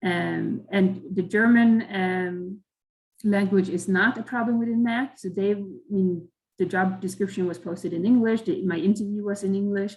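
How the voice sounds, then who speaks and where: Somewhat breathy, a woman speaks with a Swedish accent. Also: medium pitch for a woman, fairly even intonation, moderate pace. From Sweden. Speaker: chemical engineer at a company, career panelist. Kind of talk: online career webinar talk. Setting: video call. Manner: halting, many fillers and repetitions.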